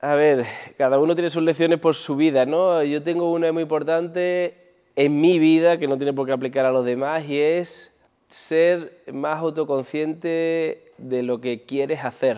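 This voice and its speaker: Using an ordinary speaking voice, a man speaks at a fairly slow pace with a fairly high pitch and fairly even intonation. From Andalusia, Spain (Huelva). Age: 40s. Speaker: entrepreneur, former pro basketball player. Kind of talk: interview.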